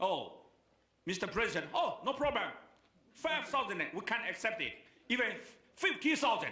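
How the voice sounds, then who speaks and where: A man's raised, projected voice with a Chinese accent, extremely high in pitch, with very wide pitch swings, very even loudness, long and frequent pauses, and audible room echo. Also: moderate pace. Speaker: keynote speaker. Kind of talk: speech. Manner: halting.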